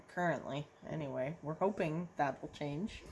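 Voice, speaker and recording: A woman talks at a fairly slow pace. Her pitch is very deep and low. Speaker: YouTuber. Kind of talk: casual chat. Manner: loud.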